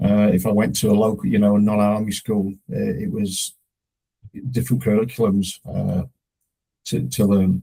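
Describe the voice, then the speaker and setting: A man with a British accent at a moderate pace, fairly low in pitch with a dark, mellow tone, ordinary pitch variation and long, frequent pauses. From UK, forces family moving between Germany and UK. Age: 60s. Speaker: son of a veteran. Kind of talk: interview. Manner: halting, many repetitions.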